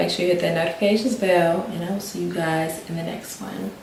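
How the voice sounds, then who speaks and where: Whispering in an American accent amid noticeable background noise and audible room echo. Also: woman. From Maryland, US. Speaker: lifestyle vlogger. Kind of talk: casual vlog update. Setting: home sit-down video.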